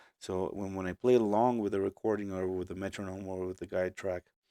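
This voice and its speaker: This man has a Portuguese accent and a dark, mellow tone at a fairly low pitch. His intonation is fairly even, and the recording is dry and close with no echo. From Brazil. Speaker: musician and producer. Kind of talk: live stream tutorial. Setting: home studio live stream. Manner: casual, hesitant with fillers.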